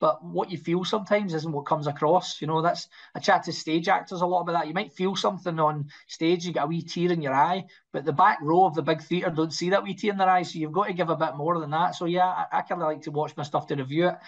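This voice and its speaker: A man's high, very fast voice with a Scottish accent, fairly even intonation and a quiet background. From Scotland. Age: 40s. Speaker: actor. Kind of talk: interview. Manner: halting.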